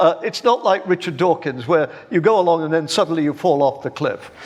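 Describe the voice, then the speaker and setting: The voice has lively intonation and a moderate pace, with noticeable background noise behind it. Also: man. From England, Birmingham. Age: 70s. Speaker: philosophy professor. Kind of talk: public debate. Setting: stage with live audience. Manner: halting, repeats words.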